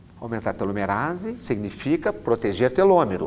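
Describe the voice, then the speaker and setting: A man with a dark, mellow tone and vocal fry speaks at a moderate pace, his pitch swinging very widely. Room echo is audible. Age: 60s. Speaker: orthopedic doctor. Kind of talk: lecture.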